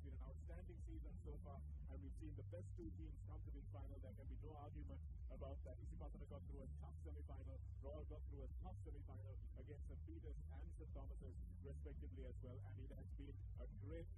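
The sound is dry, with no echo. Loud noise fills the background. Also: man, fairly quick pace. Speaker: presenter. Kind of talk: pre-match commentary. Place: stadium. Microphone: handheld.

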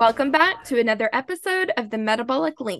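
An unremarkable speaking voice from a woman, fairly high in pitch and lively in intonation, at a moderate pace, with a dry, close sound, no echo and a quiet background. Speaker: podcast host. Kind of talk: scripted narration.

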